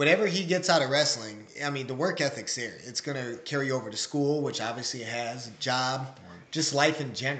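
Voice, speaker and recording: A normal speaking voice with an American accent goes at a fairly quick pace with hardly any pauses. Its loudness swings widely, while the pitch variation stays ordinary. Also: man, medium pitch for a man. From Waterloo, Iowa. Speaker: father, former wrestler, coach. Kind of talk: interview, casual chat.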